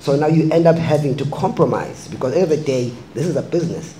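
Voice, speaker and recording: Amid noticeable background noise and audible room echo, a man talks very fast with fairly high pitch and fairly even intonation. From South Africa. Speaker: filmmaker. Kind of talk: panel discussion.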